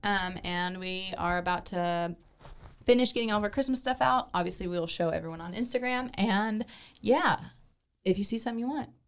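This woman has a plain, everyday voice at a medium pitch. Her intonation is lively and her pace fairly quick. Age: 30s. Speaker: candy shop host.

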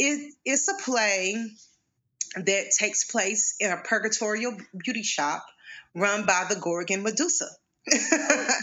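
With an Arkansas accent, a woman talks at a fairly slow pace, her pitch fairly high and her intonation lively. She leaves long, frequent pauses. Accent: Southern US (Arkansas). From Arkansas, US South. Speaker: playwright and educator. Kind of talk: interview conversation. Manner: halting, many fillers.

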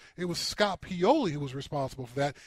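A man speaking at a fairly quick pace. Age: 50s. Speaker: sports radio co-host, former NFL player. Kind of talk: sports talk radio.

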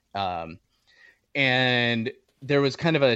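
A man with an American accent has an unremarkable speaking voice. His pitch is medium, with ordinary pitch variation. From Southern California. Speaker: hunting podcaster. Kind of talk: casual interview conversation.

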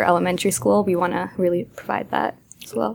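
With an American accent and vocal fry, a woman of fairly low pitch talks at a fairly quick pace. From Massachusetts. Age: 20s. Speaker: startup co-founder. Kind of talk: interview.

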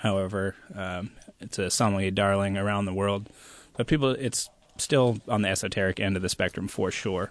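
A man's normal speaking voice, fairly low in pitch, over a quiet background. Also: fairly even intonation, moderate pace. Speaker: sommelier and winemaker. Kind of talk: casual radio interview. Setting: radio studio.

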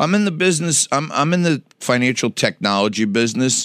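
Speaking at a fairly quick pace with a New York accent, a man is heard in a dry, close sound with no echo on a very clean recording with a silent background. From New York City, Lower East Side and Staten Island. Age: 50s. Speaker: businessman, TV personality. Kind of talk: casual interview chat.

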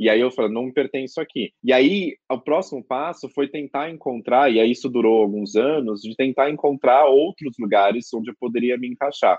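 A man with an unremarkable speaking voice talks at a medium pitch and moderate pace, with ordinary pitch variation and hardly any pauses. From Greater São Paulo, Brazil (Carapicuíba). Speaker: lawyer and law professor. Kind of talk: interview. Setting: remote recording.

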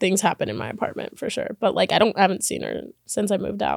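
A woman speaks in an animated tone. Her pace is fairly quick. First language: Spanish. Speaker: podcast host. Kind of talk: casual storytelling monologue. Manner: animated, chatty.

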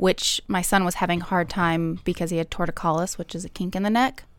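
This woman has a normal speaking voice, fairly low in pitch, with fairly even intonation. The recording is very clean with a silent background. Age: 30s. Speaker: esthetician and mother. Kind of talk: casual chat.

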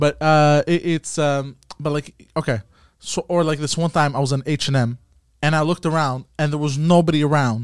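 A man with an unremarkable speaking voice, fairly high pitched, with fairly even intonation and a fairly quick pace, in a very clean recording with a silent background and a dry, close sound with no echo. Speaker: friend of the hosts. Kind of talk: casual chat.

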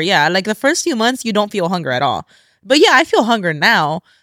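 In a very clean recording with a silent background and a dry, close sound without echo, a woman with an American accent talks at a very fast pace in a fairly high pitch, her tone animated, bright and sharp. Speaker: podcast host. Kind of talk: casual chat.

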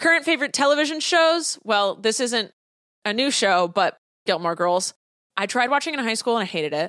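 A woman at a fairly quick pace, her pitch swinging very widely. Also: very clean recording, silent background. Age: 30s. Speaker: podcast host and online content creator. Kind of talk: casual solo chat, answering listener questions.

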